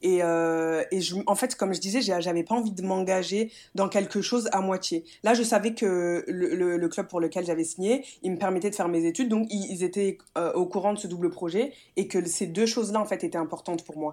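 In a dark, mellow tone, a woman talks at a moderate pace and medium pitch with ordinary pitch variation. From France, Metz. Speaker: handball player. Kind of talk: interview. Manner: halting.

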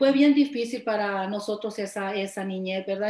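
A woman talks in a fairly high pitch. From Nayarit, Mexico. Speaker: church member sharing testimony. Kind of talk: testimony.

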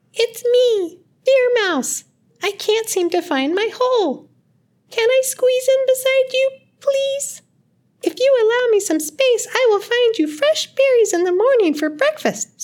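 Squeaky and pitched extremely high, the voice is a put-on character voice. Its delivery is fairly slow. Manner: pleading, polite.

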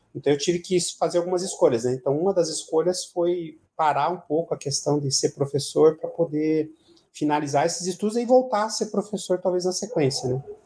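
A man's high-pitched voice, dark and mellow in tone, at a fairly quick pace with hardly any pauses. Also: ordinary pitch variation. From Paraná, Brazil (Curitiba area). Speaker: administrative director. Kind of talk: radio interview. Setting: radio studio. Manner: halting, many repetitions.

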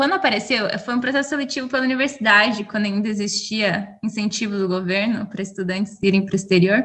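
A woman's fairly high voice at a very fast pace, with hardly any pauses. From Brazil. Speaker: podcast co-host. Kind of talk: casual chat.

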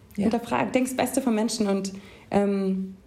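The tone of this woman's voice is dark and mellow. She talks very slowly. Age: 20s. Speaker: poetry slammer. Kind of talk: reading aloud; casual chat.

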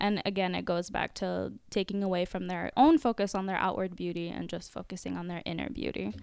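Fairly quick American-accented speech with hardly any pauses, in a very clean recording against a silent background. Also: woman. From US, Orlando area, Florida. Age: 20s. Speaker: social worker. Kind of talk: casual chat.

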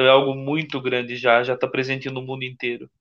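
The voice moves at a fairly quick pace. The background is quiet. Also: man. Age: 30s. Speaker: Freemason, corporate employee. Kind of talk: casual live-stream interview.

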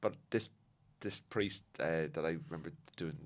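With a Cork accent, a man speaks at a moderate pace. His very deep, low pitch carries a bright, sharp tone. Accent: Cork Irish. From Cork, Ireland. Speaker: comedian. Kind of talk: casual chat.

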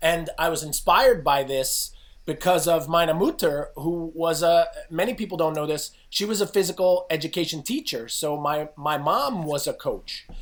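A man with an American accent, high pitch and an animated tone, ordinary pitch variation at a moderate pace, in a very clean recording with a silent background. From New Jersey, near New York City. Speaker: fitness coach and author. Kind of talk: podcast interview.

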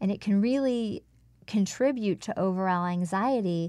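Recorded very cleanly over a silent background, a woman with a medium pitch and ordinary pitch variation has an unremarkable speaking voice. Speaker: voice and speech coach. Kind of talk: interview. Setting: studio.

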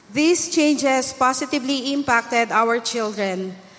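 A woman at a high pitch with ordinary pitch variation. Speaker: church member. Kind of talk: testimony. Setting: church.

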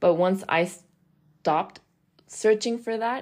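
A woman talks at a moderate tempo in a very clean recording with total silence behind her. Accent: American. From international upbringing (Dubai, Mexico, US). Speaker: professional golfer and podcast host. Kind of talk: solo podcast monologue. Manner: casual, hesitant with fillers.

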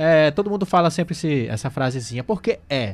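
A man with ordinary pitch variation. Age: 30s. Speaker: radio host. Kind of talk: live radio talk show.

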